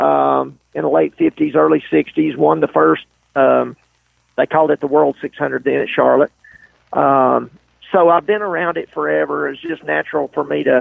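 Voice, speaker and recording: A man with a Southern US accent at a moderate pace. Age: 60s. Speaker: race car driver. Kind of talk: interview. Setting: podcast.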